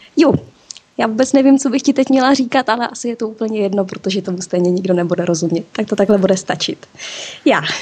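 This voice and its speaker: A woman with a Czech accent, fairly high pitch, lively intonation and a very fast pace, against noticeable background noise. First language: Czech (speaking German). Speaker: listener interviewed on a podcast. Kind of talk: casual interview.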